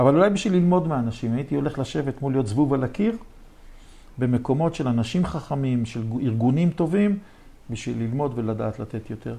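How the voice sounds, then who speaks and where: At medium pitch, a man talks at a fairly quick pace with lively intonation. His tone is dark and mellow, and somewhat breathy. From Israel, Jerusalem. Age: 60s. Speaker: real estate developer and lecturer. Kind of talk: interview.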